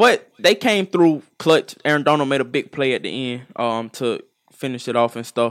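A man speaks at a moderate pace in a fairly high pitch, with lively intonation and big swings in loudness. The sound is dry and close, with no echo. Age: 20s. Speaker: podcast co-host. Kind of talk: casual chat.

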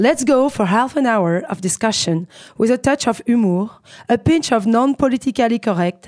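Very clean recording with a silent background, where a woman with a French accent has a fairly high pitch and lively intonation, in a dry, close sound with no echo. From Paris, France. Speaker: radio host and comedian. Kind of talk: scripted intro; casual interview. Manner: laughs often.

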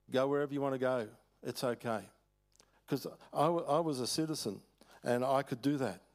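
A man with an Australian accent, medium pitch and ordinary pitch variation, fairly quick in pace but with long, frequent pauses, on a very clean recording with a silent background. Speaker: preacher, former missionary. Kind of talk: sermon. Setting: church.

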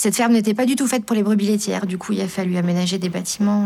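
The intonation stays fairly even. Noticeable background noise is present. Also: woman. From Lorraine, France. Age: young. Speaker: farmer. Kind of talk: interview.

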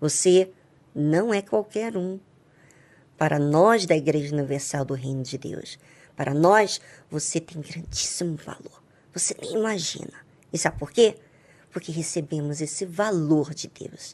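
A woman with a very deep, low voice talks fairly slowly, with long, frequent pauses. Her pitch varies in an ordinary way while her loudness swings widely. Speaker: radio host. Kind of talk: devotional radio talk.

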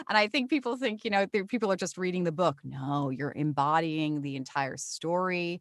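Against a quiet background, a woman with an American accent and a fairly low pitch talks at a fairly quick pace with lively intonation, in a dry, close sound with no echo. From New Jersey. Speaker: voiceover actor. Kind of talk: casual chat. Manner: animated.

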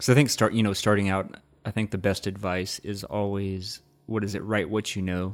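A man's fairly low voice in a Texas accent, monotone and flat, at a moderate pace on a very clean recording with a silent background. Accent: mild Texas. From rural Texas. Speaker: podcast host. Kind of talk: casual chat.

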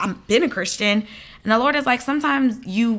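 In a very clean recording with a silent background, a woman with an American accent talks at a fairly quick pace, her fairly high voice showing vocal fry and lively intonation. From US South, Atlanta (Liberian family). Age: 20s. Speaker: ministry founder. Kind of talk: interview testimony.

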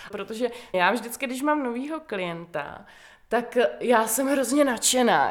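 Lively intonation runs through the voice. The pace is fairly slow. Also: woman. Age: 30s. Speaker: psychologist and peer consultant. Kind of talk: interview.

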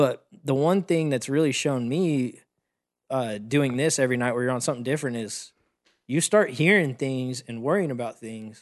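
Here a man with an American accent speaks in an unremarkable speaking voice at medium pitch. His pace is moderate, with ordinary pitch variation. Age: 20s. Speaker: live sound engineer. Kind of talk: casual chat. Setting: kitchen table at home.

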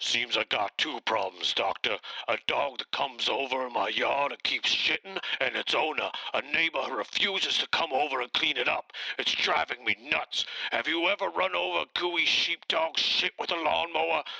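Using a put-on character voice, a man talks at a moderate pace with a fairly high pitch. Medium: comedy sketch. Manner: exasperated, ranting.

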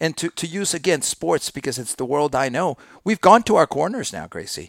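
A man's voice with vocal fry and lively intonation at a moderate pace, in a very clean recording with a silent background and a dry, close sound with no echo. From Mexico. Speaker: sports podcast host. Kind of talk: casual chat. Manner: halting, repeats words.

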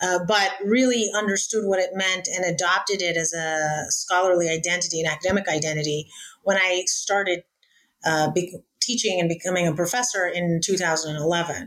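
An unremarkable speaking voice moves at a moderate pace. Its intonation is fairly even and its loudness very even. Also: woman, fairly low pitch for a woman. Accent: American. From United States. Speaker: law professor. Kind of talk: interview.

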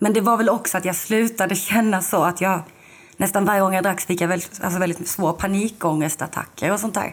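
A somewhat breathy woman's voice of medium pitch, with very even loudness and fairly even intonation. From southern Sweden, Lund. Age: 20s. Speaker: podcast guest, recovering alcoholic. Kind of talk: casual interview, personal testimony.

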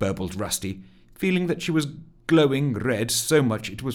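The pitch moves in a lively way through this natural reading voice.

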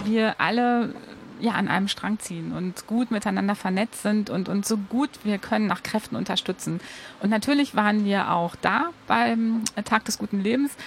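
Her voice is fairly high and her pace is moderate. The woman's pitch varies in an ordinary way. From Ruhr area, Germany. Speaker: cycling advocate. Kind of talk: radio interview. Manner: animated.

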